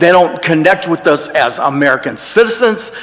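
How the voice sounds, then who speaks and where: Over noticeable background noise, a man talks in a high pitch. His pace is moderate. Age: 60s. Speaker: public commenter. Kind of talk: public comment.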